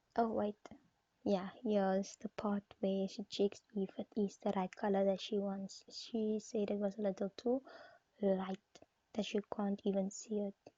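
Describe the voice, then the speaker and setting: A woman with a non-native accent speaks at a fairly slow pace in a medium, somewhat breathy voice with monotone, flat intonation. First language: not English. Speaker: nail art vlogger. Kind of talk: voiceover narration of tutorial. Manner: halting.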